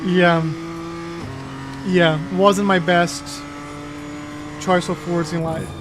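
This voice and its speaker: A high-pitched man with a Portuguese accent, very slow and monotone, long frequent pauses, audible room echo and music in the background. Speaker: sim racing streamer. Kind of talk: casual live-stream chat. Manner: filler-heavy, casual.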